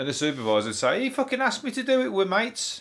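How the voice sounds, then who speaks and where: A man with a Birmingham accent, high-pitched and very fast. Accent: Brummie. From Birmingham, England. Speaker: comedian. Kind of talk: comedy podcast monologue.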